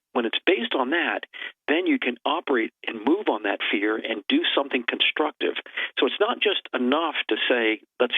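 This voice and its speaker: In an ordinary speaking voice, a man delivers his words at a moderate speed. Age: 60s. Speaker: preparedness advocate. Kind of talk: talk show interview.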